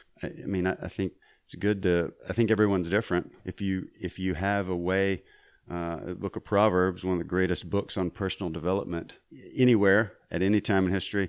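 A man's very deep, low voice with a Southern US accent, fairly quick delivery and fairly even intonation, on a very clean recording with a silent background. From Mississippi. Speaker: voice actor and Army veteran. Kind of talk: casual interview chat. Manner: halting with repetitions.

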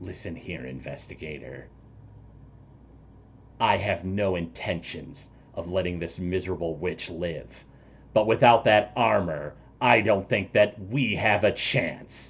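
Someone uses a put-on character voice at a fairly slow pace. Long pauses come often. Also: man, very deep, low pitch for a man. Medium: actual play. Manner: commanding, impatient.

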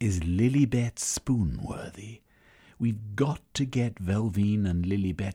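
Someone reads aloud in a natural voice, with ordinary variation in pitch.

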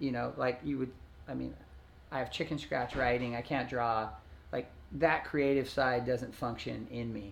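At a moderate pace, a man speaks in a normal speaking voice with medium pitch and fairly even intonation. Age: 40s. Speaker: former pro surfer and surf video star. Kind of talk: casual chat interview. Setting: at home.

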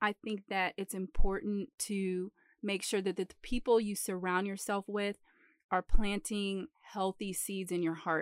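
Recorded very cleanly against a silent background with a dry, close sound and no echo, a woman with an American accent speaks in a plain, everyday voice at a medium pitch, a moderate pace and fairly even intonation. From Metro Detroit. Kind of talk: Bible teaching. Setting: late at night.

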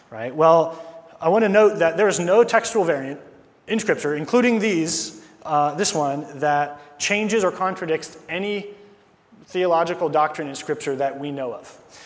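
Here a man talks at a moderate pace in a high pitch, with ordinary pitch variation. Background noise is noticeable. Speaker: preacher. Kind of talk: sermon. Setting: church.

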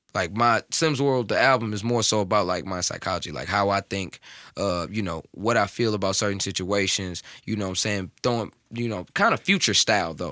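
Speaking at a fairly quick pace with ordinary pitch variation, a man with an American accent has a fairly low pitch and a bright, sharp tone, in a very clean recording with a silent background. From North County, St. Louis area (US Midwest). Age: 20s. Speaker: rapper. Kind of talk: casual chat.

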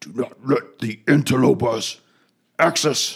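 A man puts on a guttural character voice at a medium pitch and a fairly slow pace. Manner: warning, threatening.

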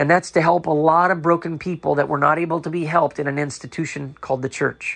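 Against a quiet background, a man talks at a fairly quick pace in a fairly high voice with fairly even intonation. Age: 40s. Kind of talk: spoken testimony and commentary.

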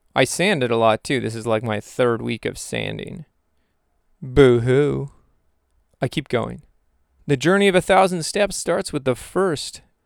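Recorded very cleanly with a silent background and a dry, close sound with no echo, a man speaks at a fairly slow pace with long, frequent pauses, his medium-pitched voice animated in tone and lively in intonation. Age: 30s. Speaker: podcast host. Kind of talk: solo monologue.

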